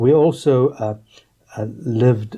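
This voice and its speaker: The voice has a dark, mellow tone, somewhat breathy and delivered at a fairly slow pace. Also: man. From South Africa, Johannesburg. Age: 60s. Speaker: politician. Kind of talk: interview. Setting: studio. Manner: halting.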